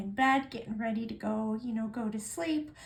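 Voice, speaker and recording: Fairly high female voice at a moderate pace, with audible room echo. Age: 60s. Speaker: nail polish vlogger. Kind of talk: casual chat. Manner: halting, many fillers.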